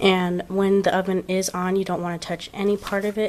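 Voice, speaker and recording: A woman's medium-pitched, monotone, flat delivery at a moderate pace with noticeable background noise. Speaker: craft video creator. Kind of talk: tutorial. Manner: casual.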